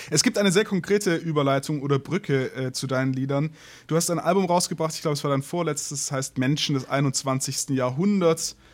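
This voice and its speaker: A man talks at a fairly quick pace in an unremarkable speaking voice. His pitch is fairly high and varies in an ordinary way. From southern Germany. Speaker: podcast host, musician and photographer. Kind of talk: interview.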